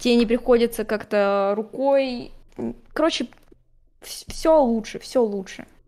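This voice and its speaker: A woman speaks in a high-pitched voice with fairly even intonation. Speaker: digital artist. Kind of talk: casual chat. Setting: live stream.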